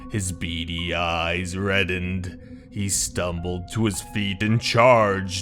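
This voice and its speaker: A man speaks at a fairly slow pace in a very deep, low voice, with clear music playing in the background. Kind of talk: horror narration. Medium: read story.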